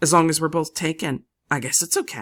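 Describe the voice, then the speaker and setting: A raspy, put-on character voice at a middle pitch moves at a fairly quick pace. The recording is very clean, with a silent background. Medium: read story. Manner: earnest, polite.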